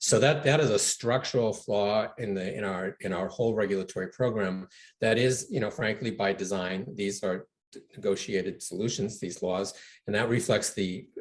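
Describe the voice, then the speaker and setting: Fairly low male voice at a moderate pace, with ordinary pitch variation. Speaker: environmental nonprofit founder. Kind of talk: interview. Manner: soft-spoken.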